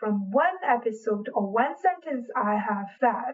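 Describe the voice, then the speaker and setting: Her pace fairly slow, a woman speaks with a Chinese accent. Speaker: podcast host. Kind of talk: podcast monologue.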